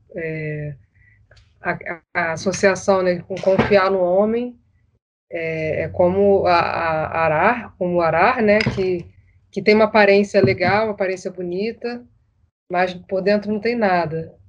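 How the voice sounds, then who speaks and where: Intonation stays fairly flat and even as the words come out very slowly. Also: woman, medium pitch for a woman. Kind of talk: casual chat.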